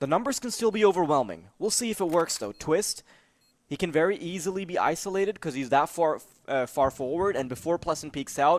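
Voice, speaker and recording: On a very clean recording with a silent background, a man with a non-native accent speaks at a high pitch and fairly quick pace, his intonation lively. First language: not English. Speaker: esports commentator. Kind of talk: live commentary. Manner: animated.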